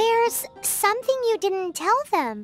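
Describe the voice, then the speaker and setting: A put-on character voice squeaks at an extremely high pitch, moving at a fairly slow pace. Faint music plays in the background. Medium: video game. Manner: lively, chatty.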